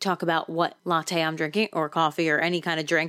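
A woman with a New Jersey accent, a fairly low pitch for a woman and a fairly quick pace. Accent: New Jersey American. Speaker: radio DJ and podcaster. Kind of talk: casual solo podcast monologue. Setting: home, late at night.

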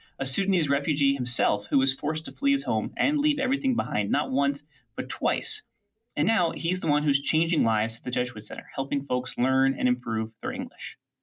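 A man's fairly high voice at a fairly quick pace with ordinary pitch variation, in a very clean recording with a silent background. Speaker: podcast host and producer. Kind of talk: scripted narration. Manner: fast.

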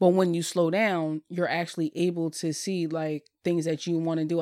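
A woman with a plain, everyday voice talks at a fairly quick pace and a fairly low pitch. Her intonation is fairly even, and the sound is dry and close with no echo. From Bristol, Pennsylvania (Philadelphia area). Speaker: life coach and meditation group leader. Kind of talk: casual chat.

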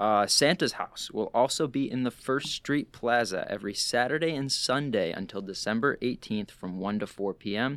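A plain, everyday voice from a man at medium pitch, moderate pace and ordinary pitch variation. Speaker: podcast host. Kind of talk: casual chat. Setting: studio.

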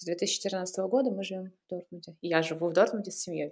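A woman's dark, mellow tone. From Russia, St Petersburg area. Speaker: airline employee and blogger. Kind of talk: interview.

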